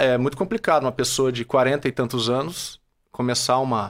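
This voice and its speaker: A man talks at a fairly slow pace in a plain, everyday voice with medium pitch. The recording is very clean with a silent background. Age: 30s. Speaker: franchise owner and entrepreneur. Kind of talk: casual interview.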